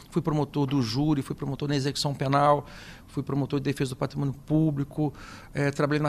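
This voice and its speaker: Against a quiet background, a man speaks at a fairly high pitch with monotone, flat intonation. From interior of São Paulo state, Brazil. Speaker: state prosecutor-general. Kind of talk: radio interview. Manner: halting, many fillers and repetitions.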